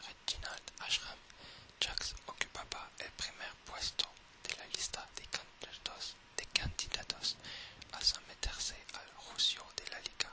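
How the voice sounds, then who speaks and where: A whisper moves at a very slow pace against noticeable background noise. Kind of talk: whispered reading of game lore. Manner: whispered.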